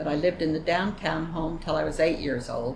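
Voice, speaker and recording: In an American accent, a woman talks with a very deep, low pitch and fairly even intonation. Noticeable background noise and audible room echo surround her voice. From US West, Utah (Vernal). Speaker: elderly woman telling her life story. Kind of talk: oral history interview. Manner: conversational, with hesitations.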